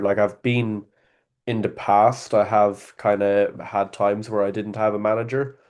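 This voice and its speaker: A man with an Irish accent talks in a monotone, flat intonation at a fairly low pitch. The background is quiet. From Ireland, Athlone (midlands). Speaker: sales worker, call prospect. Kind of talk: casual interview on a call. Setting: call. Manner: hesitant, filler-heavy.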